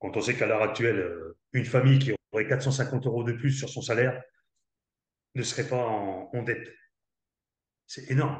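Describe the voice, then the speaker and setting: A man's somewhat breathy voice at a moderate pace, with fairly even intonation and long, frequent pauses. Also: medium pitch for a man. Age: 60s. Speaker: network marketer, former army commando. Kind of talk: interview.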